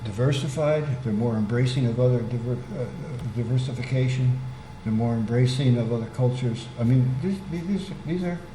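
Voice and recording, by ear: Speaking at a medium pitch with ordinary pitch variation and few pauses, a man is heard with audible room echo. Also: moderate pace.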